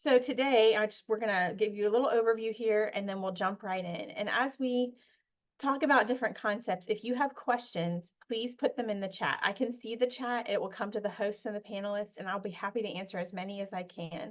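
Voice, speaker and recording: This woman talks at a fairly quick pace. Her voice is fairly high, with ordinary pitch variation. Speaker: parliamentary procedure trainer. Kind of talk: webinar presentation. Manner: fast.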